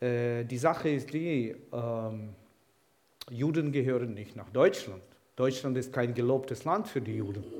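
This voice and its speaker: Audible room echo hangs around this man's voice. He talks fairly slowly. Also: medium pitch for a man, ordinary pitch variation. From Ukraine, Kyiv. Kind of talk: sermon.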